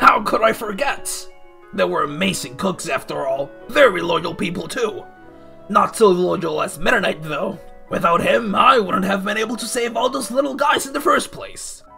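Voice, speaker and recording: A man's put-on character voice, high and raspy, at a moderate pace over clear music in the background. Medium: audio drama. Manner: blustering, self-justifying.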